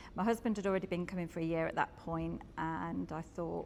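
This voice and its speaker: She has an ordinary speaking voice with a fairly low pitch for a woman. Her intonation stays fairly even. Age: 50s. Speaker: gym member. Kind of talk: interview testimony.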